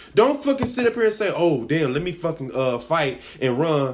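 With an American accent, a man speaks at a fairly high pitch with very wide pitch swings over noticeable background noise. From Los Angeles (Watts), California. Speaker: podcast host. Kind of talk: casual commentary monologue. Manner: animated.

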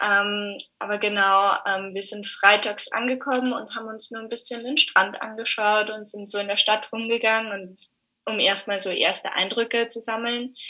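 A woman talks at a moderate pace in a fairly high pitch. Her intonation is monotone and flat, yet her loudness swings widely. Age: 20s. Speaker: exchange student. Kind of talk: casual interview.

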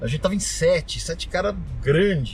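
Audible room echo and noticeable background noise surround the audio. A man talks fairly slowly. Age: 40s. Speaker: classic car collector. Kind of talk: casual chat. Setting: in a car.

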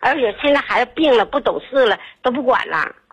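At a fairly quick pace, a woman talks in a high pitch. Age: 50s. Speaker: caller. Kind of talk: phone call to radio show. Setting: phone call. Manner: rambling, halting.

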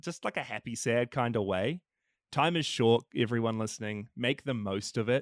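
A man's medium-pitched voice with a New Zealand accent at a moderate pace, dry and close with no echo, on a very clean recording with a silent background. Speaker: podcaster, film fan. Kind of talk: casual chat.

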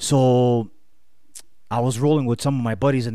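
In a very clean recording with a silent background, a man talks at a medium pitch with a dark, mellow tone and fairly even intonation. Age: 30s. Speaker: podcast guest, fitness enthusiast. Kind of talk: casual chat.

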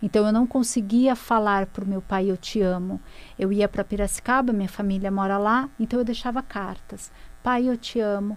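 Against a silent background in a very clean recording, a woman with an unremarkable speaking voice talks at a moderate pace and medium pitch, her intonation fairly even. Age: 30s. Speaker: author and spiritual mentor. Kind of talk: personal testimony in interview.

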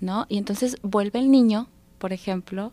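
The pace is moderate. It is a normal speaking voice. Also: woman. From Mexico, Durango. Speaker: psychologist and thanatologist. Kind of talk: radio interview. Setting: radio studio.

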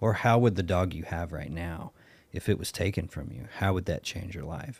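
In a Southern US accent, a man speaks with a very deep, low pitch in a very clean recording with a silent background. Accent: Southern US drawl. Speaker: podcast host. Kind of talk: casual podcast conversation.

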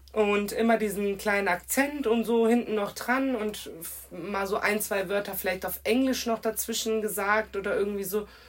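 A woman at a medium pitch, moderate pace and fairly even intonation. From Germany, Kirchheim (Hesse). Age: 20s. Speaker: guest speaking on racism. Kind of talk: casual chat.

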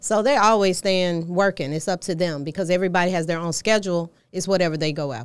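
On a very clean recording with a silent background, a woman with an American accent speaks in a plain, everyday voice at a medium pitch with ordinary pitch variation. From Atlanta area, US South. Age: 50s. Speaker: modeling agency owner. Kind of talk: casual interview chat.

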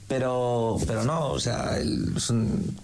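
A man at a medium pitch, with ordinary pitch variation, is heard through audible room echo and noticeable background noise. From Madrid, Spain. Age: 20s. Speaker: football fan correspondent. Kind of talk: casual chat.

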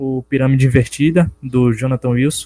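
Monotone and flat, a man's medium-pitched voice with a dark, mellow tone moves at a moderate pace. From Brazil, Bahia interior (Capim Grosso). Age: 20s. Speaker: personal trainer and book co-author. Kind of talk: casual interview. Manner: hesitant with filler 'é'.

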